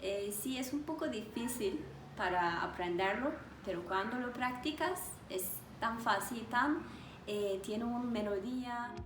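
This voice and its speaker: Speaking with a Turkish accent, a woman has a fairly high pitch and lively intonation at a fairly slow pace. Audible room echo and noticeable background noise are present. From Turkey, Istanbul. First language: Turkish (speaking Spanish). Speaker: language teacher. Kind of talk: interview.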